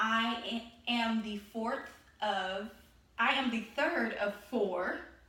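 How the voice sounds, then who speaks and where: A woman's raised, projected voice in a Texan accent, with audible room echo and noticeable background noise. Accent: Texan American. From Texas, Galveston. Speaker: student. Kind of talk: class presentation. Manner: halting.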